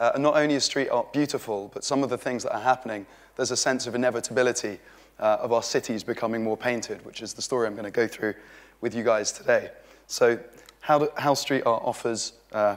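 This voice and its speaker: Speaking with a British accent, a man talks at a very fast pace. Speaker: street art organiser giving a talk. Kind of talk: conference talk. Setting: stage with audience. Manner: animated.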